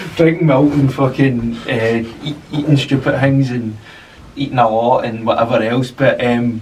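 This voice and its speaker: Over noticeable background noise, a man with a Glasgow accent talks at a fairly slow pace with fairly even intonation. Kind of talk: podcast conversation. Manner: casual, hesitant.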